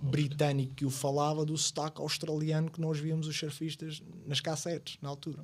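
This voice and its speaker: A man speaks with a fairly high pitch and a somewhat breathy voice. His intonation is monotone and flat. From Madeira, Portugal. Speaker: podcast guest. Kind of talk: casual chat.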